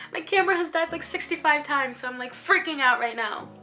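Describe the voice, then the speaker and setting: A woman uses a raised, projected voice. Her pitch swings very widely. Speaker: actress and acting student vlogger. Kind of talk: casual vlog tutorial. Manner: slurred, lazy articulation.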